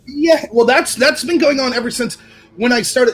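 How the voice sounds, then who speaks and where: A man speaks in an extremely high voice with an animated tone. Music plays in the background. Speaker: political commentary youtuber. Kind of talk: casual chat. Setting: livestream. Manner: fast.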